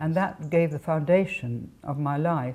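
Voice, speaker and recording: The voice has a dark, mellow tone, is somewhat breathy and shows ordinary pitch variation. It carries an RP accent. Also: woman. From England. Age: 80s+. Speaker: author. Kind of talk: interview. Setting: home. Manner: halting.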